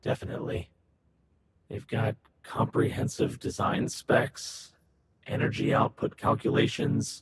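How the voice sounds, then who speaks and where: A man puts on a raspy character voice at a medium pitch, calm in tone. He speaks fairly slowly, with long, frequent pauses. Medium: video game. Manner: calm, methodical.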